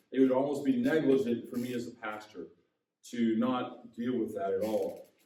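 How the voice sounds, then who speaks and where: A man with an American accent speaks at a moderate pace with ordinary pitch variation, with audible room echo. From US Midwest, Indiana. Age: 60s. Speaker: pastor. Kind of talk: sermon.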